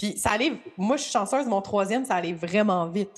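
This woman speaks in a Quebec accent. Her intonation is lively. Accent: Québécois French. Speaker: podcast host and astrologer. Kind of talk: casual interview chat. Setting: remote call with guest.

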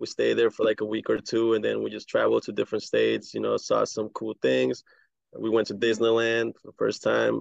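Dry and close with no echo, a man's voice moves at a fairly quick pace. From El Salvador. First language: Spanish. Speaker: immigrant guest. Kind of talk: casual chat.

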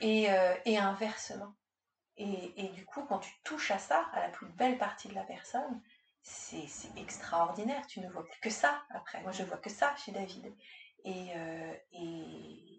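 Speaking very slowly at a medium pitch, a woman uses lively intonation and big swings in loudness. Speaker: executive coach. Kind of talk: casual chat. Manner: halting; calm.

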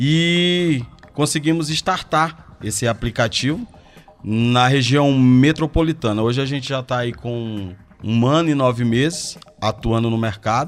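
With a normal speaking voice and a medium pitch, a man speaks at a fairly slow pace with ordinary pitch variation. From Porto Velho, Rondônia, northern Brazil. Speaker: ride-hailing app owner. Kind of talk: radio interview.

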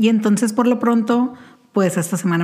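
There is noticeable background noise. Over it, a woman talks with ordinary pitch variation. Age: 30s. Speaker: podcast host. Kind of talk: casual monologue.

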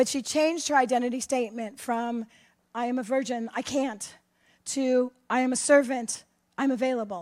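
A woman's high-pitched voice sounds out on a very clean recording with a silent background. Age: 60s. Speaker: pastor. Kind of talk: sermon.

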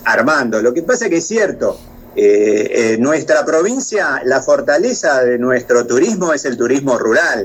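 Against noticeable background noise, a man's fairly high voice swings very widely in pitch. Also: very even loudness. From Argentina, La Pampa province. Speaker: tourism chamber vice president. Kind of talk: interview.

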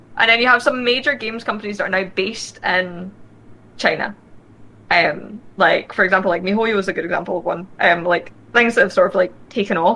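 The delivery runs at a fairly quick pace with ordinary pitch variation. It is a normal speaking voice. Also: woman, medium pitch for a woman. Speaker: gaming show host. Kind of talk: casual chat.

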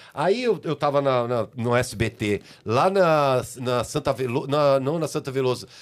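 A man with an unremarkable speaking voice talks at a fairly slow pace, at medium pitch and with ordinary pitch variation. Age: 60s. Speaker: music and TV producer. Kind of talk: casual chat.

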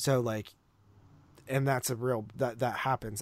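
At a moderate pace, a man with an unremarkable speaking voice talks at a medium pitch with ordinary pitch variation. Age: 20s. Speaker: podcast host. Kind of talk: casual chat.

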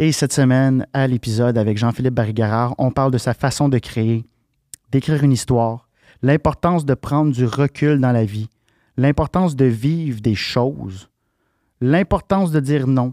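A man's dark, mellow voice with a Quebec accent, at a moderate pace with ordinary pitch variation, very even loudness, and long, frequent pauses, on a very clean recording with a silent background. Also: medium pitch for a man, dry, close sound with no echo. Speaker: podcast host. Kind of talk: casual interview chat. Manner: hesitant, many fillers.

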